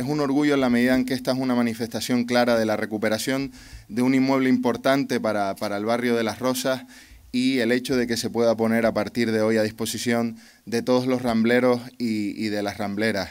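At a fairly quick pace, a man speaks with monotone, flat intonation. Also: medium pitch for a man. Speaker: regional government official. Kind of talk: ceremonial speech. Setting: outdoors. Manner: halting. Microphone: podium.

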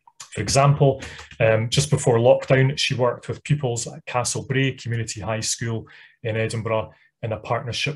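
A somewhat breathy man's voice with fairly even intonation at a moderate pace. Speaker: webinar host introducing the speaker. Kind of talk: host introduction. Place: home room. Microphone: webcam.

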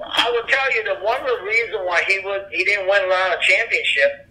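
This man talks at a moderate rate, and noticeable background noise runs through the recording. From Japan. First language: Japanese. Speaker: former wrestling manager and martial artist. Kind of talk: interview. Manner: halting, many fillers.

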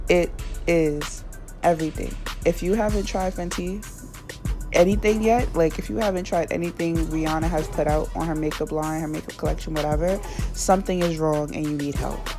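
Clear background music beneath a woman talking at a fairly quick pace. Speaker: beauty vlogger. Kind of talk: casual talk to camera. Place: home room. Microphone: phone near.

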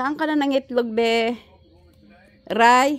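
High in pitch, a woman speaks at a slow pace with fairly even intonation.

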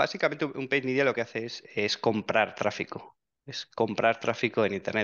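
His intonation is fairly even. The man speaks at a fairly slow pace. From Spain, Soria province (rural Castile). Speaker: digital marketing expert. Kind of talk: interview. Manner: halting, frequent repetitions and fillers.

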